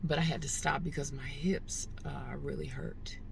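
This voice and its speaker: The woman's voice carries audible room echo. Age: 60s. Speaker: vlogger. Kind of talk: casual vlog monologue. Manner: hesitant, with many fillers.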